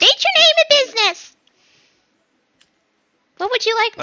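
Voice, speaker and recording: A female-sounding, squeaky put-on character voice comes at an extremely high pitch. The pace is moderate. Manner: demanding.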